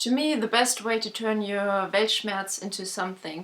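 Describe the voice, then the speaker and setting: At a fairly slow pace, a woman with a non-native accent speaks at medium pitch with a bright, sharp tone and fairly even intonation. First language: not English. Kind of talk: casual talk to camera.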